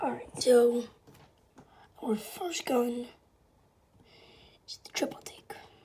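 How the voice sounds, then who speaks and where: With long, frequent pauses, the speech moves at a very slow pace over noticeable background noise. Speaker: gaming youtuber. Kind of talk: casual video commentary. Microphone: camera quality bad.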